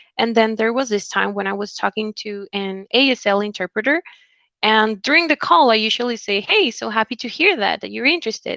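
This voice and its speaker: A woman's fairly high voice with a Spanish accent, bright and sharp in tone, at a fairly quick pace with ordinary pitch variation, over a quiet background. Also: dry, close sound with no echo. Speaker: recruiter. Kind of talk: interview.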